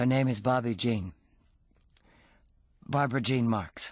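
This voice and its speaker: A man's husky, put-on character voice at medium pitch, with ordinary pitch variation and a moderate pace, over a quiet background. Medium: read story.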